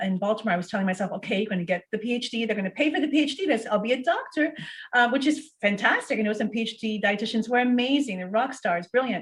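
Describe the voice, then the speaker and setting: A woman's fairly high, somewhat breathy voice at a very fast pace, with ordinary pitch variation. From US, Portuguese-Azorean immigrant family. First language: Portuguese. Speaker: physician and dietitian. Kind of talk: interview.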